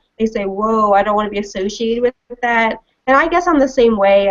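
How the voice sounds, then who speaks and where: The speaker talks with a Mid-Atlantic accent at a fairly quick pace. Pitch variation is ordinary. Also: woman. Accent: American, mid-Atlantic. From Washington DC area, US. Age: 20s. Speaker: libertarian commentator. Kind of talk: interview.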